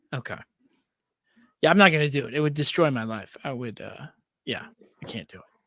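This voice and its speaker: Speaking with an American accent, a man with a fairly high, bright, sharp voice talks at a very fast pace, his loudness swinging widely and his pitch varying in an ordinary way, with long, frequent pauses. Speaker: podcast co-host. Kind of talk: casual chat.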